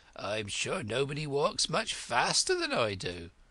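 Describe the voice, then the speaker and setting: Putting on a character voice, a man sounds raspy and fairly high-pitched at a moderate pace. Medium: read story.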